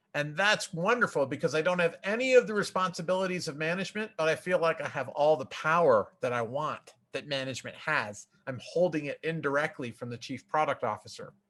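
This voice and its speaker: A man speaks loudly at a fairly quick pace in a fairly high voice, with hardly any pauses. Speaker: software testing expert. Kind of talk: conference talk.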